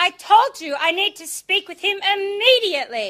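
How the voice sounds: A woman uses a put-on character voice at an extremely high pitch, with a bright, sharp tone. Her pitch swings widely as she speaks at a moderate pace.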